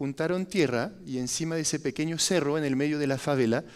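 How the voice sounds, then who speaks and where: This man speaks with a French accent on a very clean recording with a silent background. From France. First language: French (speaking Spanish). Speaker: foundation director, architect. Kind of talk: testimony talk. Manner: halting, with fillers.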